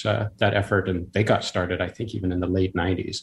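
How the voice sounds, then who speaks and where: A man's very deep, low voice, somewhat breathy, flat and monotone, at a fairly quick pace, on a very clean recording with a silent background. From US Pacific Northwest, Washington State. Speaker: city council member and network engineer. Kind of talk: interview.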